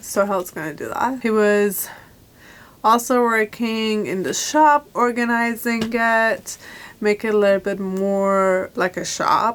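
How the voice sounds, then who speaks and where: This woman has an ordinary speaking voice, fairly high in pitch, moving at a fairly slow pace with ordinary pitch variation. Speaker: vlogger. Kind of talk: casual vlog chat. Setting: self-storage unit.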